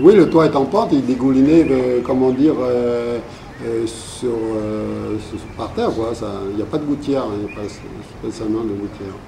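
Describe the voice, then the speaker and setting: Noticeable background noise and audible room echo surround the voice. The pace is moderate, with ordinary pitch variation. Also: man, medium pitch for a man. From New Caledonia (Vietnamese community, Thio mining villages, Nouméa). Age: 60s. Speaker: community elder recounting life history. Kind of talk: interview, oral history. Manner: halting, many hesitations and repetitions.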